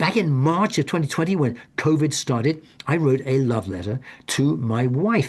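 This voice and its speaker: Somewhat breathy, this man speaks with a fairly high pitch. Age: 70s. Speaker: author and hospice volunteer speaking on death. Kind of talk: webinar presentation. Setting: Zoom webinar. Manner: halting, many repetitions and restarts.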